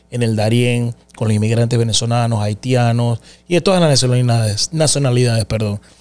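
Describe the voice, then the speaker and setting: The man speaks at a fairly quick pace and a medium pitch. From Panama. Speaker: podcast host. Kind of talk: interview. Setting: studio. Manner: animated. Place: studio. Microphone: studio mic.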